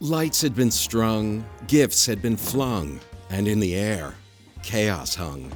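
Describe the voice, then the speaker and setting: A man's fairly low voice at a very slow pace, with very wide pitch swings and music in the background. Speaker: unseen narrator. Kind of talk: rhyming storybook narration in a comedy short.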